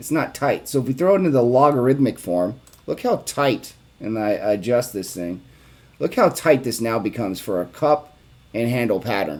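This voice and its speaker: Lively intonation marks this man's ordinary speaking voice at a medium pitch. He keeps a moderate pace. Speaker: investing video creator. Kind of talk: chart analysis tutorial. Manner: casual with fillers.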